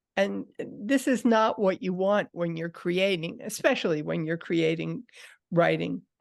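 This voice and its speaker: This is an ordinary speaking voice with lively intonation. It moves at a fairly slow pace over a quiet background. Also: woman, fairly low pitch for a woman. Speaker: writing teacher. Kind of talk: lecture.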